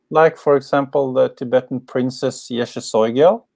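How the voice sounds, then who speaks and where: On a very clean recording with a silent background, a man speaks at a very slow pace with ordinary pitch variation. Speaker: spiritual teacher, former pro skateboarder. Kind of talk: interview. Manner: slow, with pauses.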